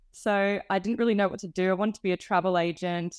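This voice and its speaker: In an Australian accent, a woman speaks at a moderate pace and medium pitch, the sound dry and close with no echo. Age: 20s. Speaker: hospitality graduate. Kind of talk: casual interview.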